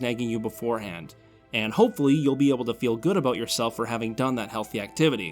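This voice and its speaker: A man talks while music plays behind him. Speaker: YouTuber. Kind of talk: scripted narration. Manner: showy, overly energetic delivery.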